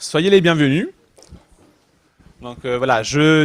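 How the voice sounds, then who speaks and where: The recording is very clean with a silent background. A man speaks with ordinary pitch variation. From Italy. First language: Italian (speaking French). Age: 30s. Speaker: startup founder. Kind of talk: talk to a young audience. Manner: halting.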